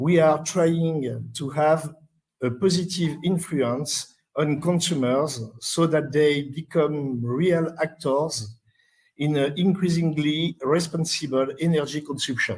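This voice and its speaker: Speaking at a very slow pace, a man uses a fairly high pitch, a somewhat breathy voice and fairly even intonation. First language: French. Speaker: conference presenter. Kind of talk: conference presentation read aloud. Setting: conference session. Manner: halting, many hesitations.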